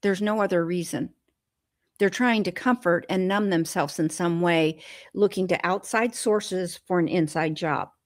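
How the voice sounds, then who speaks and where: A woman speaks with a plain, everyday voice at a medium pitch and a moderate pace, her pitch varying in an ordinary way. The recording is very clean, with a silent background. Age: 60s. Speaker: food addiction recovery guest. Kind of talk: interview conversation.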